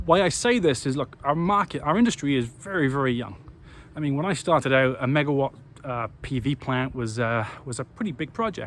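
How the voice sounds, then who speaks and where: A man with a Welsh accent, fairly high in pitch, fairly quick, with lively intonation. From Wales. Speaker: renewable energy company CEO. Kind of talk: business talk to camera. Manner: stuttering, repetitive.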